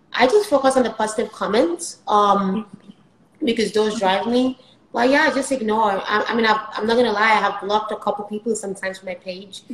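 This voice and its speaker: A woman speaks at a fairly quick pace and a fairly high pitch. Her pitch variation is ordinary, and there is noticeable background noise. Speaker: software engineer and skit creator. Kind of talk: casual interview. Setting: live stream. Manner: fast.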